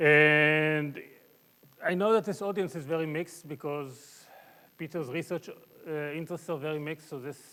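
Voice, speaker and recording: A man's bright, sharp tone at a moderate pace. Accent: Israeli. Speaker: mathematics professor. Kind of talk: lecture. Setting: conference talk with audience. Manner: halting, many fillers.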